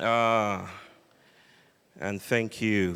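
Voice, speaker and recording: A man speaks at a medium pitch. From Western Nigeria (Yoruba). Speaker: philosopher and public speaker. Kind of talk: public lecture. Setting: sanctuary with live audience. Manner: animated.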